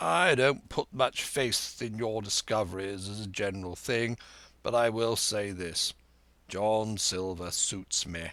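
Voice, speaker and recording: A man's raspy, put-on character voice, fairly low in pitch with ordinary variation, at a fairly slow pace. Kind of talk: educated gentleman's speech. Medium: read story.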